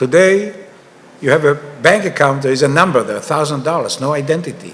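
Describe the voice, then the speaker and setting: The speaker has an Israeli accent and lively intonation. Noticeable background noise runs underneath. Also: man. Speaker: panelist, author on digital money. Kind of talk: panel discussion.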